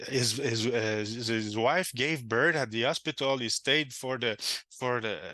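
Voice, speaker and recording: With a Quebec accent, a man talks at a fairly slow pace in a medium-pitched voice with a bright, sharp tone and ordinary pitch variation. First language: French. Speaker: game designer. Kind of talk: casual interview chat. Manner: halting, many fillers and restarts.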